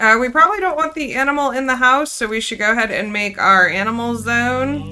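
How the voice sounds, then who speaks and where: Music plays in the background as a woman talks at a fairly quick pace, her fairly high pitch carried by lively intonation. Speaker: video game streamer. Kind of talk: live gameplay stream chat. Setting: live stream. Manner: loud.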